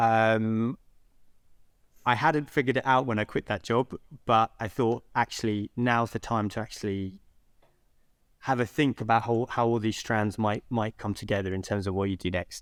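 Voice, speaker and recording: This man speaks with a London accent at a medium pitch and a moderate pace, pausing long and often. His intonation is fairly even, and the very clean recording is dry and close, with no echo and a silent background. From West London (Southall), England. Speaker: social entrepreneur, founder. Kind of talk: podcast interview. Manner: hesitant, many fillers.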